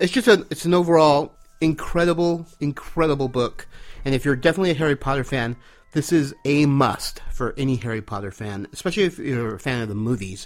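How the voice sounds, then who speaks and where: A man with a plain, everyday voice, fairly high pitched, with lively intonation, a fairly quick pace and an American accent. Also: very clean recording, silent background. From California. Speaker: listener who sends in a comment. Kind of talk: recorded listener comment. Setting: recorded message.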